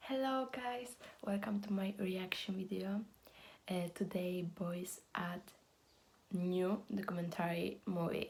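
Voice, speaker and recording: With a Polish accent, a woman speaks at a medium pitch and a very slow pace, somewhat breathy, with fairly even intonation, very even loudness, and long, frequent pauses. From Poland. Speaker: fan reaction youtuber. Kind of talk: video reaction commentary. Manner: halting, non-fluent English.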